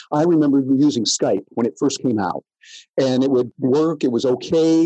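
A man speaks with an American accent and a dark, mellow tone. The sound is dry and close, with no echo. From US Midwest, rural Michigan near Jackson. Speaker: professional speaker and tech marketing consultant. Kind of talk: interview. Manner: animated.

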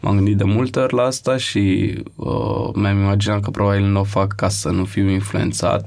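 A man speaks at a moderate pace with a fairly low pitch, ordinary pitch variation and very even loudness. Room echo is audible. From Romania, Bucharest (Rahova). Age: 20s. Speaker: photographer. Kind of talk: casual interview.

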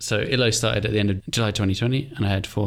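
The speaker talks at a very fast pace, somewhat breathy, with ordinary pitch variation. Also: man, very clean recording, silent background. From England. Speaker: podcast co-host and indie founder. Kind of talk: casual chat.

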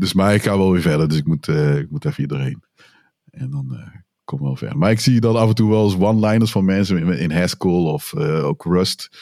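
Speaking at a moderate pace, a man with a very deep, low pitch and a dark, mellow tone makes very wide pitch swings. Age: 40s. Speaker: podcast host, developer. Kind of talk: casual tech podcast chat. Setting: remote online recording.

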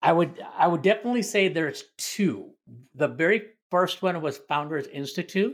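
High male voice, its pitch varying in an ordinary way. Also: moderate pace. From family from India. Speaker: army veteran and startup founder. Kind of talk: casual interview chat.

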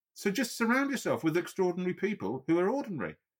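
Talking very fast with a Yorkshire accent, a man lets his pitch swing very widely. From Yorkshire, northern England. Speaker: amputee ice swimmer and triathlete. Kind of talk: interview conversation.

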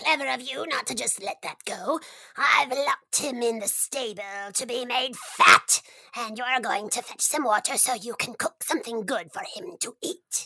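A female-sounding voice in a put-on character voice speaks at a moderate pace and a high pitch. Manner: scheming, then flustered and angry.

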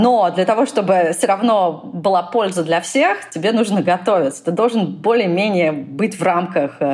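Against noticeable background noise, a woman talks fairly slowly at a medium pitch, with ordinary pitch variation and very even loudness. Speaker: product manager, mentor. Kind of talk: mentoring interview chat.

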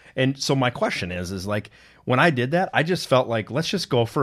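A man talks at a moderate pace with an Upper Midwest accent. The recording is very clean, with a silent background. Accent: Upper Midwest American. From northern Minnesota. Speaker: podcast co-host, IT professional. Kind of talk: casual chat. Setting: studio.

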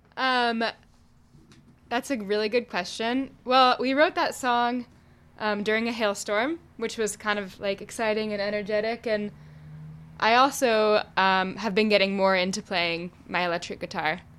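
The recording is very clean and the background silent. It features an ordinary speaking voice in an American accent, at a moderate pace with ordinary pitch variation. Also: woman, fairly high pitch for a woman. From Oakland, California. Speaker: singer-songwriter, band frontwoman. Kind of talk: casual interview chat. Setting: studio.

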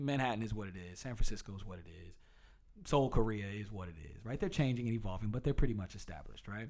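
Talking at a very fast pace, a man with an American accent has fairly low pitch and ordinary pitch variation. His loudness swings widely. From US South, Durham, North Carolina. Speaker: city council candidate and hip-hop artist. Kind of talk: casual interview.

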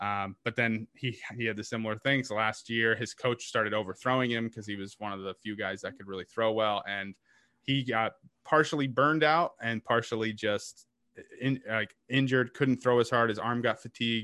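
With an American accent, a man of medium pitch talks at a moderate pace in a bright, sharp tone and fairly even intonation, recorded dry and close with no echo against a quiet background. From New England (Boston and New Hampshire). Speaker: stand-up comedian. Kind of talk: casual chat.

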